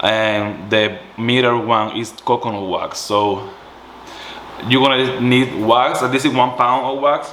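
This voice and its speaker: Very slowly and with a strong Puerto Rican accent, a man at medium pitch speaks with fairly even intonation, amid audible room echo and noticeable background noise. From Puerto Rico. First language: Spanish. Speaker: small business owner, candle maker. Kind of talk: tutorial. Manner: halting, self-correcting.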